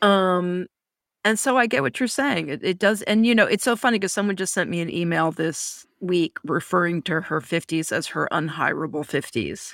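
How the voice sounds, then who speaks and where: A plain, everyday voice from a woman, fairly low in pitch, at a moderate pace with lively intonation. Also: very clean recording, silent background. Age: 50s. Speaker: podcast co-host. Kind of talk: casual chat.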